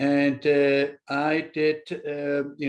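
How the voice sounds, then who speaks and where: A man is speaking. He has a German accent. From Germany. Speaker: chef and culinary instructor. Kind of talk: webinar panel talk. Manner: halting, many fillers.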